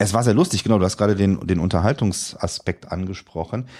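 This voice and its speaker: A man's voice on a very clean recording with a silent background. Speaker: podcast guest recounting a blindness experience exhibit. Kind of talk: casual chat.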